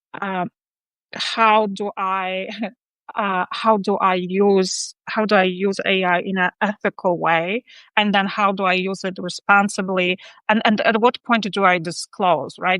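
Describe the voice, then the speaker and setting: A woman with a non-native accent speaks at a medium pitch and a fairly slow pace, her tone bright and sharp and her intonation monotone and flat. The sound is dry and close with no echo, against a quiet background. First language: not English. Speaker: interview show host. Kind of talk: casual chat. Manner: halting, many fillers.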